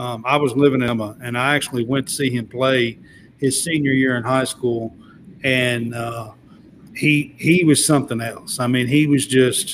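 With a Kentucky accent, a man speaks at a medium pitch and moderate pace, with ordinary pitch variation. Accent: Kentucky Southern US. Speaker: sports podcast host. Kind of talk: casual chat.

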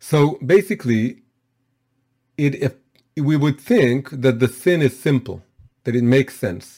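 A man's fairly high-pitched voice with a dark, mellow tone, a fairly slow pace and long, frequent pauses. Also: ordinary pitch variation. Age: 40s. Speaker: Torah teacher. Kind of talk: lecture.

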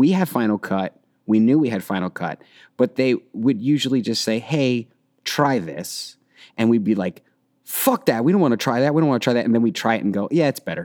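This man has an unremarkable speaking voice at a medium pitch, moving at a fairly quick pace with lively intonation over a dry, close sound with no echo and a very clean recording with a silent background. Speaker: filmmaker. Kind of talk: casual chat.

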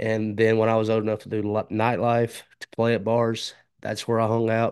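A man with a Southern US accent talks at a moderate pace and a fairly low pitch over a quiet background. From Alabama and Mississippi border area. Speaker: podcaster. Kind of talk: casual interview chat.

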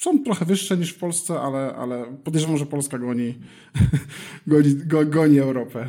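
A man's voice has a dark, mellow tone. He talks at a fairly quick pace with ordinary pitch variation. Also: fairly high pitch for a man. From Poland, Elbląg. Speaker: startup founder. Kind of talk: interview.

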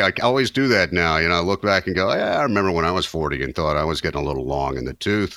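This man speaks at a very fast pace with a very deep, low pitch, very wide pitch swings, a bright, sharp tone and vocal fry. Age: 50s. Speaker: podcast co-host. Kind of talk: casual chat.

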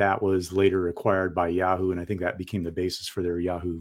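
At a very fast pace, a man with a very deep, low pitch speaks in a monotone, flat way in a very clean recording with a silent background. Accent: Californian. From US West Coast (San Diego, California). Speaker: co-founder and tech manager of a fantasy football site. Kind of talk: casual interview.

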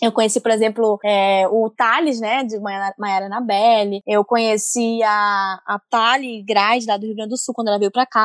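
Moderate pace and fairly even intonation, with a dry, close sound, no echo and a quiet background. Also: woman. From Amazonas, northern Brazil. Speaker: comics editor and colorist. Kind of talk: casual chat.

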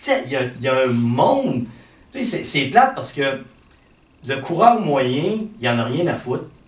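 A man speaks at a fairly slow pace with lively intonation and a medium pitch. Room echo is audible. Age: 50s. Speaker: fitness and health coach. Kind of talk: casual chat.

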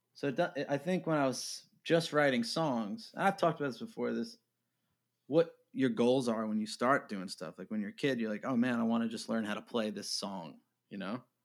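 A man's normal speaking voice with an American accent, medium pitch, lively intonation and a fairly quick pace. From New York. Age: 30s. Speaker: indie musician. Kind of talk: casual interview. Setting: remote call.

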